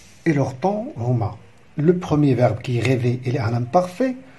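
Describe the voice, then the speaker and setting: A man with a dark, mellow tone, somewhat breathy, with lively intonation. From Morocco. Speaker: primary school teacher. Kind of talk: lesson explanation. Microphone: phone near.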